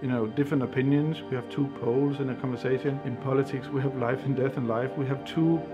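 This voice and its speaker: With clear music in the background, a man talks at a very fast pace in fairly even intonation. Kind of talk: interview answer. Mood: reflective, thoughtful. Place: studio.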